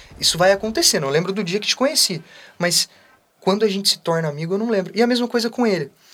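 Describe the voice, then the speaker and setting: The intonation is lively. The pace is very fast. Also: man, high pitch for a man. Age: 20s. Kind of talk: casual interview.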